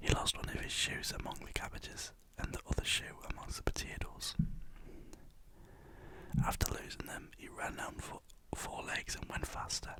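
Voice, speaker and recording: Whispering at a fairly quick pace, with noticeable background noise. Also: man. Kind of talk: ASMR storybook reading. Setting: studio. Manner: casual, stumbling, not fluent.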